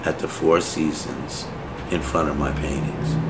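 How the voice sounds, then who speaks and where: A man talks at a very slow pace with ordinary pitch variation. Noticeable background noise runs underneath. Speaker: painter. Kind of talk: interview answer. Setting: artist's studio.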